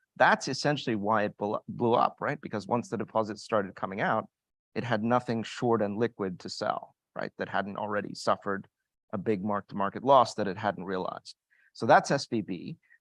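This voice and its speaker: This man has an unremarkable speaking voice with an American accent, fairly low pitch, ordinary pitch variation and a fairly quick pace, recorded with a dry, close sound with no echo against a quiet background. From United States. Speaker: global investment strategist, panelist. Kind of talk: panel discussion.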